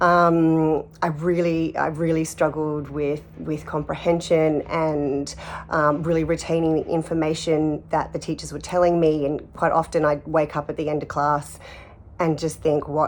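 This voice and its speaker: A woman with an Australian accent speaks in a very deep, low voice. Her pace is fairly slow and her intonation monotone and flat. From Australia (Sydney). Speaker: artist and actor. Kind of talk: personal testimony interview. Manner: hesitant, many fillers and repeats.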